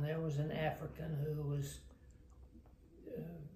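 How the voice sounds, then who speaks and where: This man's fairly high voice keeps a fairly even intonation amid noticeable background noise. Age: 80s+. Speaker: retired missionary. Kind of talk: interview answer. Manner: hesitant, reminiscing.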